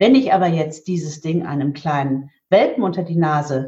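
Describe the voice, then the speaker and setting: A woman is speaking. Her pace is moderate. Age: 50s. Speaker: market researcher and event organizer for spiritual teachings. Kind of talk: interview.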